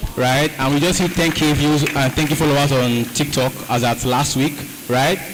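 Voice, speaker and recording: Music runs in the background. The voice holds very even loudness and fairly even intonation. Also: man, fairly high pitch for a man. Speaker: content creator. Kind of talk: panel discussion. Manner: fast.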